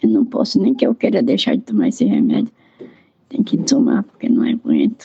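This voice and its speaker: A woman's high voice in a monotone, flat delivery, very even in loudness, at a moderate pace broken by long, frequent pauses. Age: 90s. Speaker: elderly nun. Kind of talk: interview. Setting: recorded at home with headphones.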